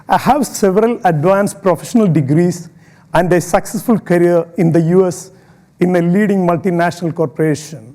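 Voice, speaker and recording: In an Indian accent, a man speaks at a fairly quick pace with high pitch, ordinary pitch variation, a dark, mellow tone and very even loudness. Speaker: public speaker. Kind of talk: inspirational talk.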